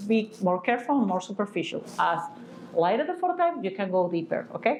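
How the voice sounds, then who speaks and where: Audible room echo surrounds this woman's voice. Noticeable background noise is present too. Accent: non-native. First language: not English. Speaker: physician teaching aesthetic medicine. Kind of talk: educational lecture. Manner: halting, many fillers.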